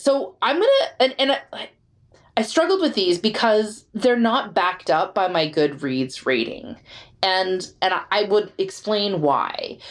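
At a fairly slow pace, a woman speaks at medium pitch with very wide pitch swings, vocal fry, and very even loudness. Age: 40s. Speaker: podcast co-host. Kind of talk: casual chat.

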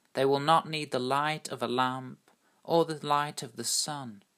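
The recording is very clean with a silent background, and the speech moves at a fairly slow pace. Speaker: priest leading online night prayer service. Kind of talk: fervent prayer, liturgical worship. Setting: recorded church service podcast. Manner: earnest, slow, reverent, hushed and heartfelt.

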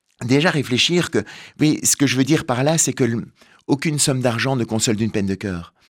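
A man at a medium pitch and a fairly quick pace, with lively intonation and long, frequent pauses, on a very clean recording with a silent background. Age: 50s. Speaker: author and stage performer. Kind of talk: radio interview.

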